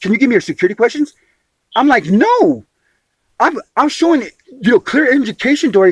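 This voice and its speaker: Extremely high in pitch, this man's animated voice makes very wide pitch swings, recorded dry and close with no echo. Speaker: homeless man disputing an agency appeal. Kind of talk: heated phone dispute. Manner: fast; animated, interrupting.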